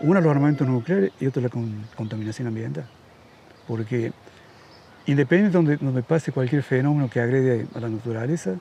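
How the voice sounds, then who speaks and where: Speaking very fast yet with long, frequent pauses, a man uses a medium pitch and ordinary pitch variation. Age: 70s. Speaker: radio host. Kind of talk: casual chat.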